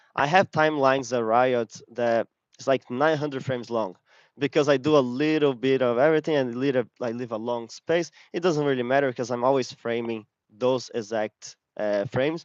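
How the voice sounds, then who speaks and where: An unremarkable speaking voice goes at a moderate pace with ordinary pitch variation, dry and close with no echo against a quiet background. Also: man, medium pitch for a man. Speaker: game animator giving a talk. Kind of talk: lecture.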